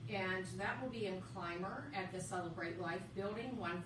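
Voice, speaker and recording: A woman speaks fairly slowly at a medium pitch with lively intonation. Audible room echo and noticeable background noise come through. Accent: American. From western Pennsylvania, Indiana County. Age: 50s. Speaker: author. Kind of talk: radio interview. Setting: studio.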